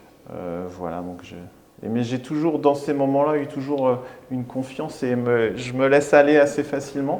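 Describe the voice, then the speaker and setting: The voice moves at a moderate pace with ordinary pitch variation, and audible room echo surrounds it. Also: man, medium pitch for a man. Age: 40s. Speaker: restaurant owner. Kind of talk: interview. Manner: halting.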